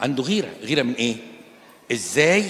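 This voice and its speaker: An animated man with an Egyptian accent, medium pitch, very wide pitch swings, and a moderate pace, over noticeable background noise. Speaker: Coptic Orthodox priest. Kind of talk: sermon. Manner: animated, conversational.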